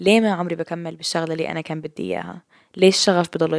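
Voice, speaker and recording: A woman's voice at a fairly quick pace, dry and close with no echo, on a very clean recording with a silent background. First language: multilingual, Arabic and English (speaking Arabic). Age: 20s. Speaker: podcast host, university student. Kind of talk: casual monologue. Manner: code-switching Arabic and English.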